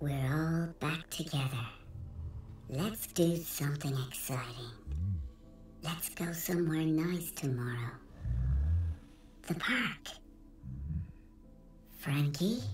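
A put-on character voice speaks at a middle pitch and fairly slow pace. Long, frequent pauses break up the delivery. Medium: short film. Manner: sweetly coaxing, unsettling; quietly insistent.

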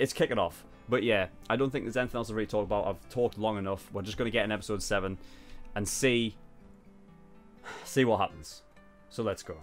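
Faint music plays behind a man with a fairly low pitch who talks at a fairly quick pace, with ordinary pitch variation and long, frequent pauses.

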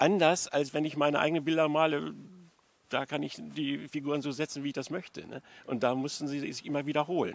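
A man at a fairly quick pace, with monotone, flat intonation. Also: dry sound with no echo. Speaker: interviewee. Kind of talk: interview answer. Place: garden. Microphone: handheld.

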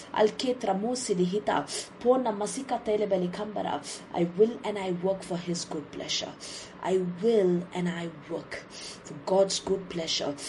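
A woman's intense tone with ordinary pitch variation, over noticeable background noise. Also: medium pitch for a woman, moderate pace. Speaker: preacher. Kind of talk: fervent declaratory prayer, repeated scripture affirmations with speaking in tongues. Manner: intense, rhythmic repetition of declarations.

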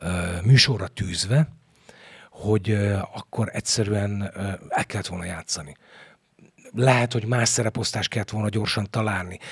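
A man speaks at a fairly low pitch, somewhat breathy. The background is quiet. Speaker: stage actor; stage actor, podcast guest. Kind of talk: interview; interview answer. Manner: halting. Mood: thoughtful, animated. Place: studio. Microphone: studio mic.

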